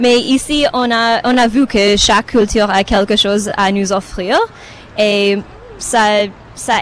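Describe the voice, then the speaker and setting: With a non-native accent, a woman speaks at a very slow pace with a fairly high pitch and fairly even intonation over noticeable background noise. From Romania. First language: not French (speaking French). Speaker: festival visitor, teacher. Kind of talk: live radio interview.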